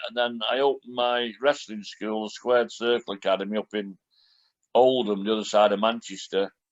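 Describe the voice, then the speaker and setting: With a Lancashire accent, a man talks at a medium pitch and fairly quick pace, in a dry, close sound with no echo over a quiet background. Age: 60s. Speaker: retired professional wrestler. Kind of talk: podcast interview.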